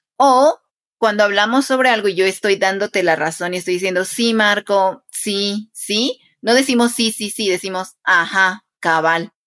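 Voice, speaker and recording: A woman with an unremarkable speaking voice talks at a fairly slow pace, at medium pitch with ordinary pitch variation. The sound is dry and close, with no echo. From Guatemala, Quetzaltenango. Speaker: Spanish teacher. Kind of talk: interview conversation.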